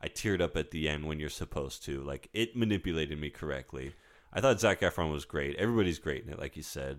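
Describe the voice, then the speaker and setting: A man speaks at a very fast pace with a very deep, low pitch, lively intonation and vocal fry. The recording is very clean, with a silent background. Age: 40s. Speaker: podcast co-host, film fan. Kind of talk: casual chat.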